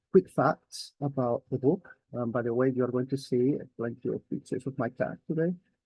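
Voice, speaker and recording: Somewhat breathy, a man speaks at medium pitch and moderate pace. His pitch varies in an ordinary way. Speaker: academic author presenting a book. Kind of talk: conference presentation.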